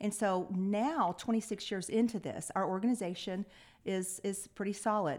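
A woman speaks with a Texan accent. Her intonation is fairly even. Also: very clean recording, silent background. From Lubbock, West Texas. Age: 50s. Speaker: nonprofit CEO. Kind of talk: interview.

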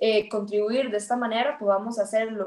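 In a normal speaking voice, a woman talks at a fairly quick pace and a fairly high pitch. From Costa Rica, rural Esparza (Puntarenas). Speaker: natural resource manager and climate consultant. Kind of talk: interview conversation. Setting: podcast recording.

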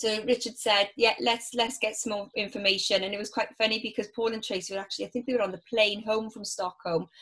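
Monotone, flat delivery in a Welsh accent, at a very fast pace with hardly any pauses. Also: woman. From Wales. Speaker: business networking organiser. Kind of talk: casual interview.

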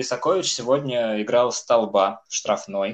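A man with an unremarkable speaking voice talks at a medium pitch with ordinary pitch variation. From Cheboksary, Russia. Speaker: football fan podcast co-host. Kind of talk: casual chat.

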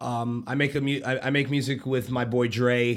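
Medium-pitched male voice with an American accent and fairly even intonation. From Florida, Orlando area. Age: 20s. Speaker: DJ. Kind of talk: casual chat. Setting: studio.

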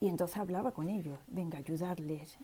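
Her voice sits fairly low for a woman, with a dark, mellow tone. It sounds somewhat breathy. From Seville, Spain. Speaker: listener taking part. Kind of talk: personal testimony.

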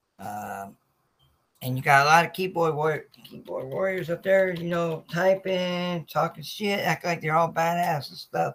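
A man with an American accent speaks at a fairly slow pace. His pitch is high, and his loudness swings widely. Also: ordinary pitch variation. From Norfolk, Virginia. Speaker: sports podcast host. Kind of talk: casual livestream talk. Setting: live video stream.

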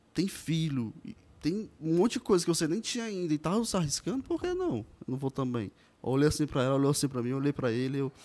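Very fast and lively in intonation, a man speaks with a dark, mellow tone. The recording is very clean, the background silent. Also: fairly high pitch for a man. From Ceará, Brazil (Pacajus). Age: 20s. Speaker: digital marketing specialist. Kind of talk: podcast interview.

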